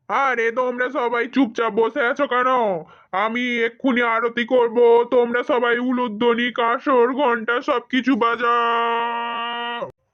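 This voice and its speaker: Against a quiet background, a cartoonish character voice with a fairly high pitch speaks at a fairly slow pace in a monotone, flat intonation. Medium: puppet. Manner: hurried.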